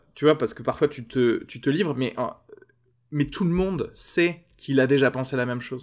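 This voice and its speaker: The recording is very clean, and the background is silent. A man talks in a medium pitch. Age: 30s. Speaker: podcast producer. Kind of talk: casual chat. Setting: café terrace.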